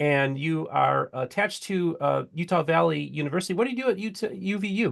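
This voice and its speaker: A man speaks with a Midwestern accent. His pace is fairly quick. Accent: Midwest. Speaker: podcast host. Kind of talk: interview.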